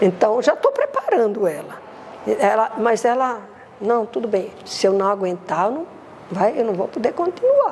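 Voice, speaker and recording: Over noticeable background noise, a woman speaks fairly slowly at a fairly high pitch. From Brazil, Recife. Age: 70s. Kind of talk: interview testimony. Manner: halting, repetitive.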